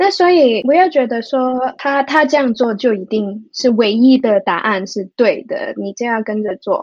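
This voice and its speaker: At a fairly slow pace, a woman with a high pitch speaks with hardly any pauses. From Hong Kong. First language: Cantonese (speaking Chinese). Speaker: music therapist. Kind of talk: interview. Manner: halting.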